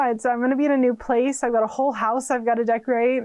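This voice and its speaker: This woman speaks in a Californian accent at a high pitch. Her intonation is fairly even. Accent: Californian, noticeable. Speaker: witchcraft and tarot YouTuber. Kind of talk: casual channel introduction vlog. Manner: chatty, many fillers.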